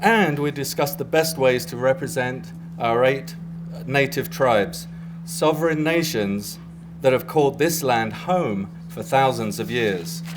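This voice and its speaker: Amid noticeable background noise, a man with an English accent speaks at a fairly slow pace, his pitch fairly high and his intonation lively. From England, near London. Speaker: graphic design professor. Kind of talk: prepared speech. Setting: press event with audience. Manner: formal, some hesitations.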